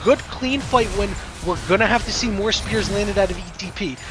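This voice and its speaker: A man shouting loudly in an excited tone, fairly quick in pace with ordinary pitch variation, over music in the background. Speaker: esports play-by-play caster. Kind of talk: live commentary. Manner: loud, yelling; fast, excited.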